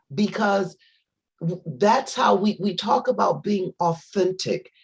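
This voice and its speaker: Somewhat breathy, a woman talks at a very slow pace. Her pitch variation is ordinary. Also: medium pitch for a woman. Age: 60s. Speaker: guest speaker. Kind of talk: inspirational panel talk. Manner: halting, many repetitions and restarts.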